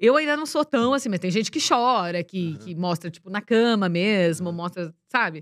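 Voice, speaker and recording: A woman speaks in a normal speaking voice at a medium pitch and moderate pace, with lively intonation and big swings in loudness. The recording is very clean with a silent background and a dry, close sound with no echo. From interior of São Paulo state, Brazil (Ibaté). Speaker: TV presenter and speaker. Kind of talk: interview. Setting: studio.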